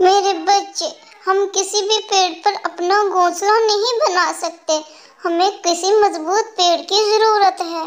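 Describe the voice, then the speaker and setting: In a cartoonish character voice, a woman speaks fairly slowly at an extremely high pitch with fairly even intonation. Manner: soft, polite, motherly.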